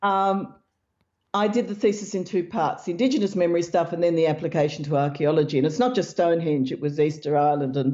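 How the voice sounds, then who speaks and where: A woman talks at a very fast pace with lively intonation. Her pitch is fairly low. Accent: Australian. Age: old. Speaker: researcher and author. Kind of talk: interview.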